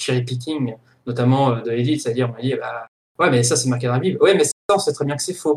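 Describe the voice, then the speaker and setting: Somewhat breathy, a man speaks at a very fast pace with a medium pitch and ordinary pitch variation. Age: 20s. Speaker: podcast host and film studies graduate. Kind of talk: casual chat.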